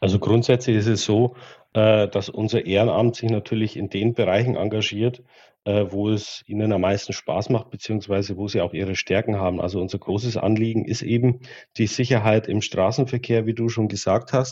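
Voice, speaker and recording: Against a quiet background, a man speaks at a fairly low pitch and a moderate pace. His tone is dark and mellow, his intonation monotone and flat. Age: 30s. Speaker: regional volunteer coordinator of an automobile club. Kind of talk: interview.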